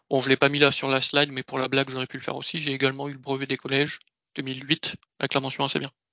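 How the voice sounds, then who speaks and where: This is a man speaking at a medium pitch. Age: 30s. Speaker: ERP consultant. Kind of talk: career presentation. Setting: video call.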